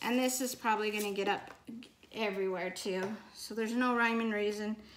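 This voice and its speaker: A woman speaks at a fairly quick pace in an American accent. Audible room echo fills the recording. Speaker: soap maker. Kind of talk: tutorial. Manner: casual, chatty.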